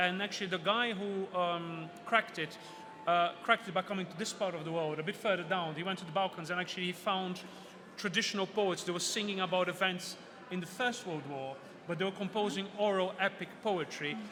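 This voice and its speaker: A man with a Portuguese accent, high-pitched, in a raised, projected voice at a fairly quick pace, amid noticeable background noise. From Brazil. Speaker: author and mythology speaker. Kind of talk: book fair talk. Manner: animated.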